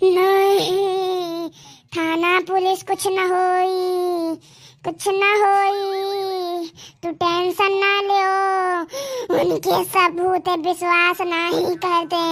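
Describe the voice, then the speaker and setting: Squeaky and extremely high-pitched, a female-sounding cartoonish character voice drags along at a very slow pace. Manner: insistent, repetitive.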